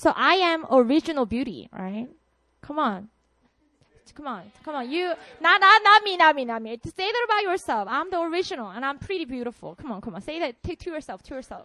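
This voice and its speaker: In a Korean accent, a woman projects a raised, high-pitched voice that is animated, bright and sharp, with very wide pitch swings and big swings in loudness. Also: fairly quick pace. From South Korea, Busan. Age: 30s. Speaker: pastor. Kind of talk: sermon. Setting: stage with audience.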